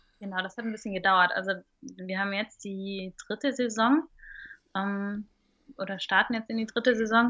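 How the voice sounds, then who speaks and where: A woman at medium pitch and moderate pace, ordinary pitch variation, with long, frequent pauses. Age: 30s. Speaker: stand-up paddling instructor. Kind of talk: casual interview. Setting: remote call.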